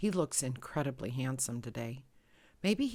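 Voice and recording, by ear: A natural voice reads aloud, its intonation lively.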